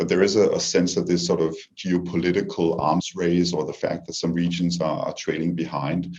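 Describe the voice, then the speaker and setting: With a strong Danish accent, a man speaks at a fairly quick pace in a very deep, low pitch with fairly even intonation. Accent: heavy Danish. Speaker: diplomat. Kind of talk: panel discussion. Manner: halting, many repetitions.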